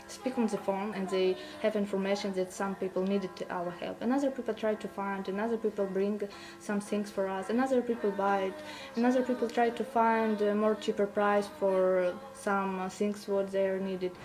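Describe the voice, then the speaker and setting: The speech moves at a fairly quick pace with fairly even intonation. Music plays in the background. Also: woman, medium pitch for a woman. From Luhansk region, Ukraine. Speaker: volunteer. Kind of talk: interview.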